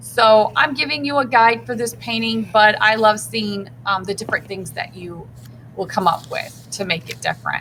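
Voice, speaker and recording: An unremarkable speaking voice, this woman's has a fairly high pitch, lively intonation and big swings in loudness at a moderate pace. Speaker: art teacher. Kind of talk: tutorial.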